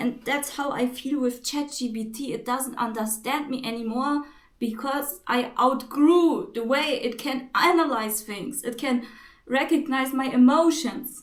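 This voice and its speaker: A woman with a non-native accent speaks at a fairly slow pace. Her pitch is high, with ordinary variation. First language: not English. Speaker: spiritual vlogger. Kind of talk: spiritual monologue to camera. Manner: halting.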